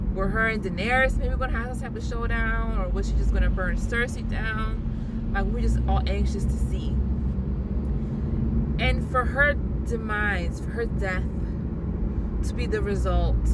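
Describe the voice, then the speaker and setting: Through loud background noise, a woman speaks at a moderate pace with long, frequent pauses, the sound dry with no echo. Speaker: vlogger. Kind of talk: casual vlog chat. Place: car. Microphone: phone near.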